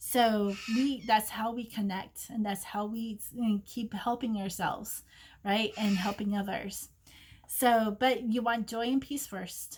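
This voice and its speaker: The voice is somewhat breathy with a gentle tone, fairly even intonation and a fairly slow pace. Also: woman, fairly high pitch for a woman. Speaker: psychic reader. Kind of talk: oracle card reading. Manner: gentle and maternal.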